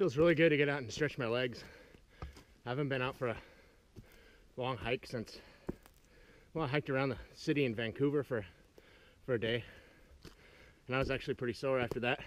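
Here a man talks at a very fast pace with ordinary pitch variation. The sound is dry with no echo. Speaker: sailing vlogger on a hike. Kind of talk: casual vlog chat. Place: forest. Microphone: phone near.

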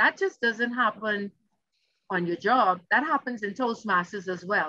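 A woman speaks in a bright, sharp tone with lively intonation against a quiet background. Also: dry sound with no echo. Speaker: keynote speaker. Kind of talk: keynote speech. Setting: video call. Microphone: video call.

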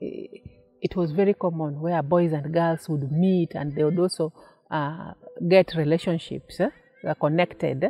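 Faint music plays in the background as a woman speaks at a fairly low pitch, at a fairly slow pace, with fairly even intonation. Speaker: interviewee. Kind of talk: interview answer. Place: garden.

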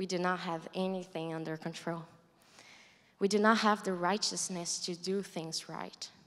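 A woman speaks in a monotone, flat intonation with a Brazilian accent. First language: Portuguese. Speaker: college student. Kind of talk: testimony. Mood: earnest, reflective. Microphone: handheld.

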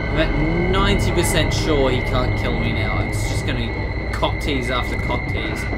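Over loud background noise, a man speaks at a moderate pace. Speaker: let's play gamer. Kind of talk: casual gameplay commentary. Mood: jokey, occasionally startled. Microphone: headset.

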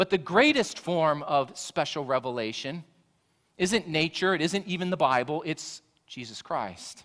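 Over a quiet background, a man speaks at a moderate pace with vocal fry. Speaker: pastor. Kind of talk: sermon. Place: church.

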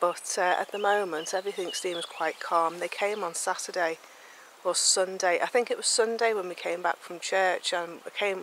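The sound is dry with no echo, over light background noise. The intonation is monotone and flat. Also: woman. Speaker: knitting podcast host. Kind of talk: casual vlog chat. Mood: calm, relaxed. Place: garden. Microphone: phone near.

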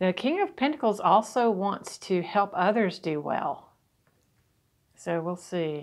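A woman talks at a very slow pace with lively intonation and a medium pitch. The background is quiet. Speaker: tarot reader. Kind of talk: tarot reading talk to camera. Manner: casual. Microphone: phone near.

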